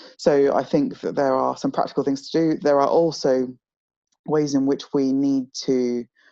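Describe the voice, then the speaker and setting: Delivered in a southern English accent, the voice has a dark, mellow tone and a monotone, flat intonation. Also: woman. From southeast England (home counties, London suburbs), born in Nigeria. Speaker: author and charity communications executive. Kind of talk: interview conversation.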